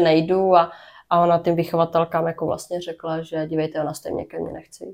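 Over a very clean recording with a silent background, a woman talks at a fairly low pitch in a monotone, flat intonation. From Brno, Czech Republic. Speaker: podcast host sharing her own story. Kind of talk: personal interview, testimony. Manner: halting, many fillers.

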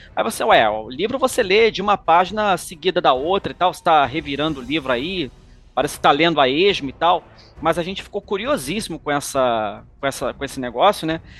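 With music playing behind him, a man talks at a fairly quick pace in a fairly high pitch, his voice swinging very widely up and down. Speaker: podcast host. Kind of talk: casual chat.

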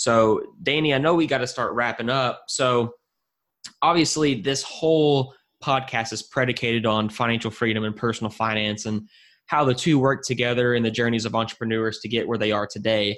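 On a very clean recording with a silent background, a normal speaking voice shows ordinary pitch variation at a fairly quick pace. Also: man, medium pitch for a man. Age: 20s. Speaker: podcast host. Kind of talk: interview.

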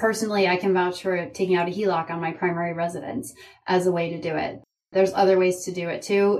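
A woman speaks at a fairly quick pace in a normal speaking voice, with medium pitch and fairly even intonation. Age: 40s. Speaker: leadership coach. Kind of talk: interview.

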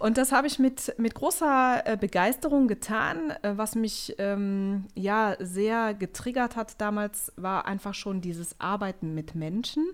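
Speaking at a very slow pace yet with hardly any pauses, a woman uses lively intonation at a fairly high pitch. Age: 30s. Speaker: business founding consultant. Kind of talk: interview. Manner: hesitant, many filler sounds.

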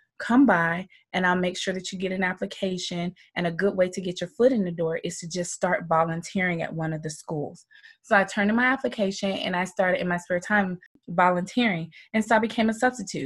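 This woman, with an American accent, speaks fairly quickly at a medium pitch, her voice somewhat breathy and her pitch rising and falling in an ordinary way. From US South, Georgia. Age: 40s. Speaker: middle school teacher and life coach. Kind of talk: casual interview.

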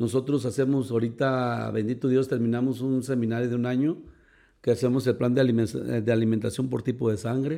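The voice moves at a moderate pace with a dark, mellow tone and fairly even intonation. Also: man, medium pitch for a man. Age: 50s. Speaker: gym owner and bodybuilding coach. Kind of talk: casual interview. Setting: studio with host, masks removed.

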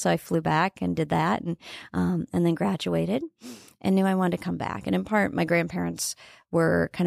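A woman with an American accent speaks at a fairly quick pace. The sound is dry and close with no echo, on a very clean recording with a silent background. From northeast Nebraska, farm. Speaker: entrepreneur and former TV broadcaster. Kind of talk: casual interview.

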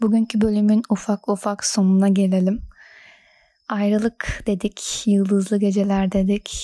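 A woman speaks at a fairly slow pace in a monotone, flat way, her somewhat breathy voice dark and mellow, with very even loudness, a dry, close sound with no echo, and a very clean recording with a silent background. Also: medium pitch for a woman. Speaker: podcast host. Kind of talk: casual monologue. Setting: recording at home late at night. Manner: radio-presenter style.

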